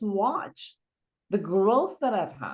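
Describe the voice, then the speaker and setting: A woman talks at a fairly slow pace in a medium pitch, with vocal fry. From Iran. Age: 60s. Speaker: psychotherapist. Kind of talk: interview conversation.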